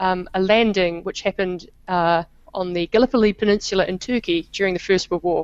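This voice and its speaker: A woman's medium-pitched voice with a New Zealand accent and fairly even intonation. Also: dry, close sound with no echo. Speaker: historian. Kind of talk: interview.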